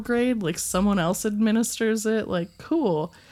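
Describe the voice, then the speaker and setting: The recording is very clean, with a silent background. A woman with a normal speaking voice talks in a fairly high pitch and lively intonation. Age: 20s. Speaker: podcast guest, listener. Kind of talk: casual chat. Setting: studio.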